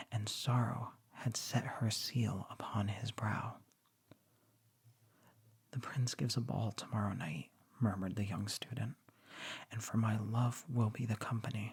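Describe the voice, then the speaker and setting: Soft-spoken and somewhat breathy, a man of medium pitch talks in a relaxed tone at a fairly slow pace, with fairly even intonation and long, frequent pauses. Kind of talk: literary story reading. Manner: soft-spoken, relaxed.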